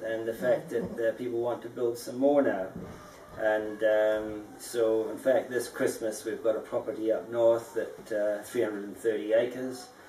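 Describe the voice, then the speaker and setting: Amid audible room echo and noticeable background noise, a man speaks at a medium pitch and moderate pace with fairly even intonation. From Scotland, emigrated to New Zealand at 14. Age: 50s. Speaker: dome house builder. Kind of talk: interview. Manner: halting, many fillers.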